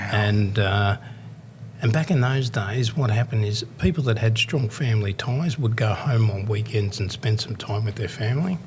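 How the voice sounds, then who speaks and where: Somewhat breathy, a man with an Australian accent speaks at medium pitch and a moderate pace with ordinary pitch variation. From Australia, Melbourne. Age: 60s. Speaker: motivational speaker and youth worker. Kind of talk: podcast interview, life story. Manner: conversational, with many fillers.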